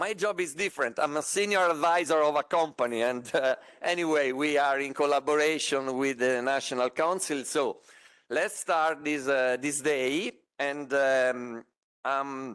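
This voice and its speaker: At a very slow pace, a man with a fairly high pitch speaks with ordinary pitch variation and very even loudness. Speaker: conference moderator. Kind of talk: event moderation. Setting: stage with audience. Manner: halting.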